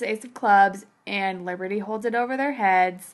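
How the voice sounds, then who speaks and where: This is a plain, everyday voice from a woman at a medium pitch. She speaks at a moderate pace with ordinary pitch variation. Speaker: podcast host. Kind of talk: casual chat.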